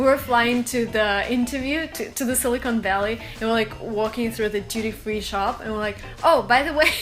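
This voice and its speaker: A woman with a fairly high pitch and ordinary pitch variation at a fairly quick pace, with noticeable background noise. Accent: Russian. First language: Russian. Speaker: startup co-founder. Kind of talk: interview. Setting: studio.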